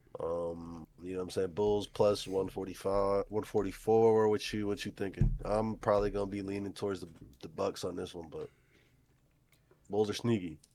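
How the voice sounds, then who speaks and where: A man's fairly low, dark, mellow voice in monotone, flat intonation. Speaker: sports betting podcast host. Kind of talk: casual chat. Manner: fast.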